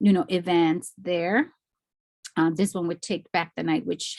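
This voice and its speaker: With an unremarkable speaking voice, a woman talks at a moderate pace, her pitch fairly low and its variation ordinary. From Mexico, then East Los Angeles. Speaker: artist. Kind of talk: lecture.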